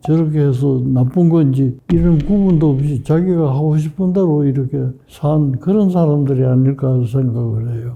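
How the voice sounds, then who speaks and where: Somewhat breathy, a man with a fairly high voice talks at a fairly slow pace with ordinary pitch variation. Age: 80s+. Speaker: psychiatrist. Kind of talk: interview answer.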